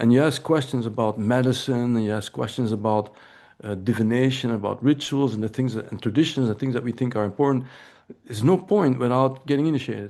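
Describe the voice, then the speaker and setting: A man with a European accent talks at a fairly quick pace in a medium pitch, with ordinary pitch variation. His tone is dark and mellow, and the background is quiet. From Belgium. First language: Dutch. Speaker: anthropology professor. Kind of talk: lecture. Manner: halting, with frequent repetitions.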